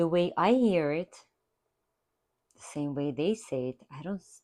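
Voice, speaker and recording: In a non-native accent, a woman speaks with a dark, mellow tone, a fairly low pitch and lively intonation. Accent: foreign accent, kept after many years. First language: not English. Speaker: art therapy instructor. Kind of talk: tutorial.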